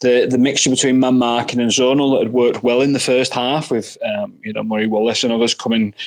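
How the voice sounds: Moving at a fairly quick pace, a man with a Northern Irish accent keeps a medium pitch and fairly even intonation.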